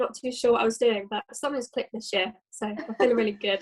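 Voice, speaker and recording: A woman with a British accent speaks at a very fast pace. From London, England. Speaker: nursing student. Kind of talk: casual chat.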